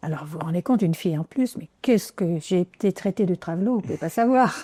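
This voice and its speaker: A woman with a fairly low pitch and a dark, mellow tone races at a very fast pace with lively intonation in a dry, close sound with no echo. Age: 80s+. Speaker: motorcycle traveler and author. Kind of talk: interview.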